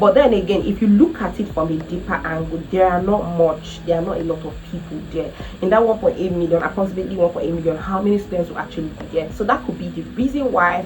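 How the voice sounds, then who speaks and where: Very fast and animated, the speaker talks with a Nigerian accent and ordinary pitch variation, amid noticeable background noise and audible room echo. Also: woman, fairly low pitch for a woman. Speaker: travel vlogger. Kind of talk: casual vlog talk to camera.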